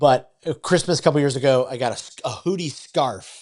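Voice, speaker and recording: With an American accent, a man talks at a fairly quick pace in an ordinary speaking voice. His intonation is lively. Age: 40s. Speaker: podcast host. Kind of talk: podcast interview. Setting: podcast.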